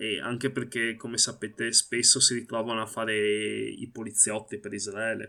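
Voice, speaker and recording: This man talks with hardly any pauses, his voice showing vocal fry and a bright, sharp tone. His intonation is monotone and flat. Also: medium pitch for a man, moderate pace. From Italy. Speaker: Palestinian activist. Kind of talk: interview. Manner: halting.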